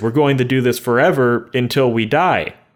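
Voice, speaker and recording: A man with an American accent, at a fairly quick pace. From US West, rural desert small town. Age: 20s. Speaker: YouTuber. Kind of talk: casual monologue vlog. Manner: animated.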